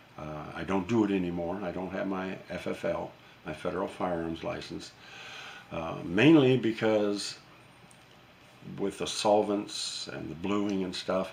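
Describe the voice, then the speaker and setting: Speaking at a fairly slow pace with long, frequent pauses, a man uses a fairly low pitch and ordinary pitch variation, and audible room echo can be heard. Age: 70s. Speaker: YouTuber and retired gunsmith. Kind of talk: casual vlog monologue. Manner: halting, many fillers and repeats.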